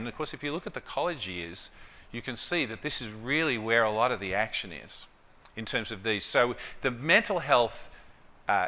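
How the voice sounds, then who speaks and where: A man speaks at a fairly quick pace in an Australian accent. His tone is bright and sharp, with ordinary pitch variation. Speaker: clinical psychology professor. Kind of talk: conference presentation.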